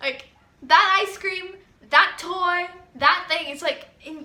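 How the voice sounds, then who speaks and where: A woman speaks in a raised, projected voice with an animated tone. Her intonation is lively. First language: Spanish. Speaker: vlogger giving advice. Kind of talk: casual monologue.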